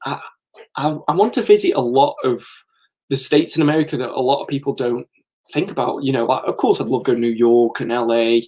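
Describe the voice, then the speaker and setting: In an English accent, a man talks very fast at a medium pitch, with a dark, mellow tone and ordinary pitch variation. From England. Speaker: comics YouTuber. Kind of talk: live stream chat. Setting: live stream from comic room. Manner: casual, chatty with fillers.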